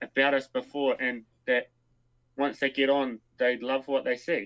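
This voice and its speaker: Speaking with a New Zealand accent, a man has a fairly high-pitched voice. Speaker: co-founder of a scouting online community. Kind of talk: live stream Q&A. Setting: live stream.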